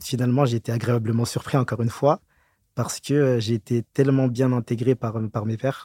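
In a very clean recording with a silent background and a dry, close sound with no echo, a man speaks in a monotone, flat intonation, somewhat breathy, with a dark, mellow tone. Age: young. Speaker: auditor. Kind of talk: interview.

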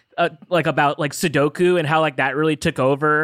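A man with an American accent speaks at a fairly high pitch. The recording is very clean with a silent background and a dry, close sound with no echo. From Southern California. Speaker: podcast co-host. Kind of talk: casual chat.

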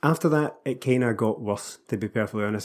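Very clean and silent in the background, the recording has a man speaking with a Scottish accent. His pitch is medium and his pace very fast. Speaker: Celtic podcast co-host. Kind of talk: casual chat about football.

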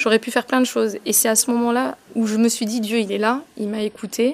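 The speech has fairly even intonation, with noticeable background noise behind it. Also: woman. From France. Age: 30s. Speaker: fashion columnist and stage actor. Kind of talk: interview testimony.

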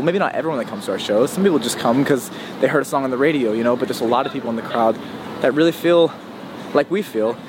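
The voice moves through ordinary pitch variation while noticeable noise sits in the background. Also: man. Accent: American. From West Virginia. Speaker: musician. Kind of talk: casual interview.

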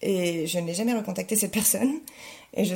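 A woman talks at a fairly quick pace in a dark, mellow tone. Her voice is somewhat breathy, with ordinary pitch variation. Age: 30s. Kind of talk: testimony.

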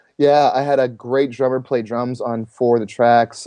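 This man speaks at medium pitch with a dark, mellow tone. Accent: Canadian. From Toronto area, Canada. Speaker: singer-songwriter and church arts pastor. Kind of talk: interview.

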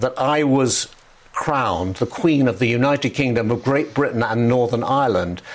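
A man with an English accent, medium pitch and a fairly slow pace, amid noticeable background noise. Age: 70s. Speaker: former royal correspondent. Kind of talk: interview. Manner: halting.

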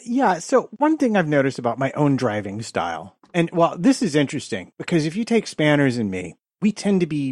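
At a moderate pace with hardly any pauses, a man speaks at a fairly high pitch with very wide pitch swings, in a dry, close sound with no echo against a quiet background. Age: 50s. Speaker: podcast co-host. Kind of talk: casual chat.

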